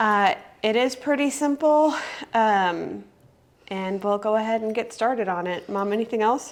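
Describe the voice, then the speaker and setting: In an unremarkable speaking voice, a woman talks at a fairly slow pace and a fairly high pitch with ordinary pitch variation. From Germany, moved to US at about 14. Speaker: home cooking video host. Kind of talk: cooking tutorial. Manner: casual, filler-heavy.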